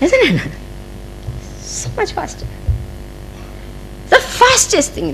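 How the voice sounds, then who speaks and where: A woman speaks at a fairly slow pace with long, frequent pauses and big swings in loudness, over noticeable background noise. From India, Mumbai. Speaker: spiritual teacher. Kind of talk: spiritual discourse.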